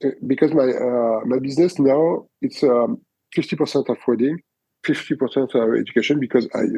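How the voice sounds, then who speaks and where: A man speaks with a French accent at a fairly quick pace. His tone is dark and mellow, and his pitch sits at a medium level. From France. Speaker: wedding photographer. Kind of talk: interview answer. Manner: hesitant, many fillers.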